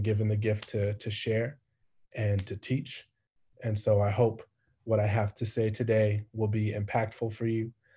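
A man speaks at a moderate pace in a fairly low pitch, his dark, mellow tone somewhat breathy and his intonation monotone and flat. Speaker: spoken word poet. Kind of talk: spoken word performance. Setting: video call. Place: home room. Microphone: video call.

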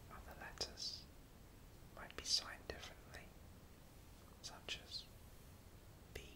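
Someone speaks at a fairly slow pace with long, frequent pauses over noticeable background noise. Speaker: sign language teacher. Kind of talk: soft-spoken instructional talk about sign language. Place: home room.

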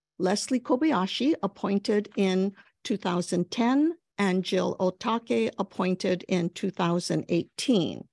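A woman's voice with ordinary pitch variation comes through in a dry sound with no echo against a quiet background. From Hawaii. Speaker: federal judge. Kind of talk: prepared speech. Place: office. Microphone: lapel.

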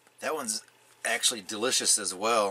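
A man at a moderate pace, pitch varying in an ordinary way. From Michigan. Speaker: coffee reviewer. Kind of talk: casual product review. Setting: pop-up camper at an RV park. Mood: upbeat, relaxed. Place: tent.

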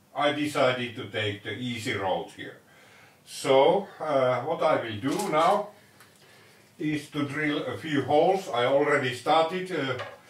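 Ordinary pitch variation and a fairly slow pace come through with audible room echo. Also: man. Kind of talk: tutorial. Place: workshop.

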